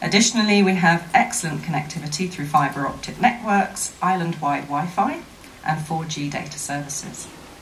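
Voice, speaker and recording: Over noticeable background noise, a woman speaks at a moderate pace with big swings in loudness. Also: fairly low pitch for a woman, ordinary pitch variation. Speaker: investment promotion official. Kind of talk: formal speech at a seminar. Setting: seminar with audience. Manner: formal.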